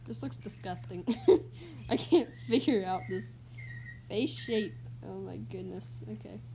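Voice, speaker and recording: Pausing long and often, a woman speaks at a fairly slow pace amid audible room echo. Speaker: livestreamer drawing. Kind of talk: casual live stream chat while drawing. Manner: loud; hesitant, many fillers.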